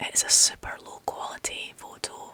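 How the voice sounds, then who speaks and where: A woman whispers in a Scottish accent, with noticeable background noise behind her. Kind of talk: ASMR whispered story reading. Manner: whispered, soft.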